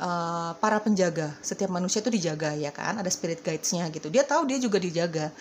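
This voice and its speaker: A woman with a fairly low pitch, lively intonation and a very fast pace. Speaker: tarot reader. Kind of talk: tarot reading. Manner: casual, repetitive.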